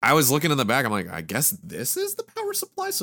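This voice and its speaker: A man talks at a very fast pace with very wide pitch swings, a bright, sharp tone and vocal fry. The recording is very clean, with a silent background. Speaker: podcast host. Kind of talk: casual chat. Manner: joking.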